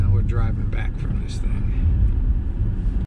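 Man over loud background noise. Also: dry sound with no echo. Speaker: vlogger in car. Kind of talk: casual vlog chat. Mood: cheerful, chatty. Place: car. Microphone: camera far.

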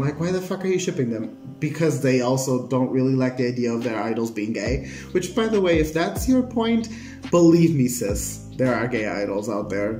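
Audible room echo surrounds a man speaking at a moderate pace. Faint music plays in the background. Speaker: reaction video creator. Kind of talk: casual vlog chat. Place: home room. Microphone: phone near.

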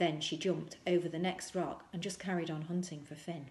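A woman speaks at a moderate pace with a fairly low pitch and fairly even intonation. Her tone is slightly mellow, and audible room echo surrounds her.

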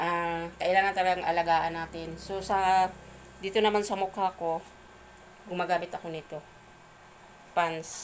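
A woman with a fairly low pitch speaks at a moderate pace, leaving long, frequent pauses. Her intonation is monotone and flat. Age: 50s. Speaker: vlogger and product seller. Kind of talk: product review vlog. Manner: halting.

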